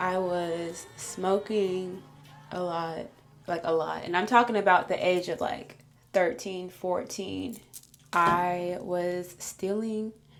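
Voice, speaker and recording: A woman speaks at a very slow pace and medium pitch, with music in the background. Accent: American. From Illinois. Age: 20s. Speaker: beauty vlogger. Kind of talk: casual chat. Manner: animated.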